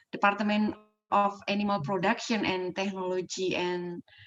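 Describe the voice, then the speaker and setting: In an Indonesian accent, a woman speaks at a medium pitch. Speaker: poultry science association representative. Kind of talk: formal thanks. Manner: halting.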